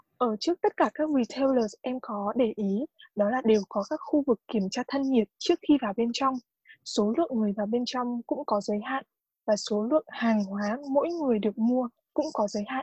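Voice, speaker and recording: Dry and close with no echo, a woman's high-pitched voice moves at a moderate pace with ordinary pitch variation. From Vietnam. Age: 20s. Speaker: international student. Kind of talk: casual interview.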